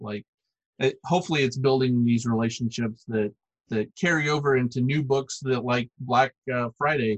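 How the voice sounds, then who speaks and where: A man with an American accent speaks in a plain, everyday voice at a medium pitch with ordinary pitch variation. The sound is dry and close, with no echo. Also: moderate pace. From US South, Arkansas. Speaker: comics publisher and artist. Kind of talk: casual interview.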